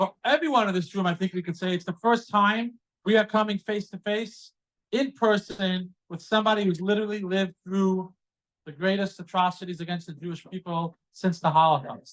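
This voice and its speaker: A man talks loudly at a fairly quick pace. His pitch is high and varies in an ordinary way. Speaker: event host at campus center. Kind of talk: event introduction to live audience. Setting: hall with live audience, microphone, also on Zoom.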